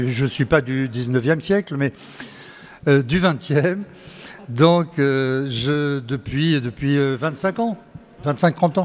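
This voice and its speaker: A man speaks at a very slow pace with long, frequent pauses. His fairly high pitch shows ordinary variation. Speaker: regular theatregoer. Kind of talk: casual chat.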